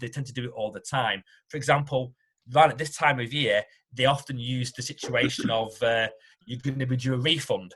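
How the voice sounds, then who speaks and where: A man with a British accent talks at a fairly quick pace. His tone is bright and sharp, at a medium pitch. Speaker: tax accountant. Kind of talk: informational webinar talk.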